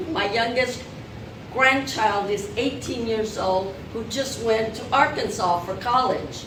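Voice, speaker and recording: A very slow pace and ordinary pitch variation, with noticeable background noise and audible room echo. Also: woman, fairly high pitch for a woman. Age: 70s. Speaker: retired teacher turned financial advisor. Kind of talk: workshop presentation.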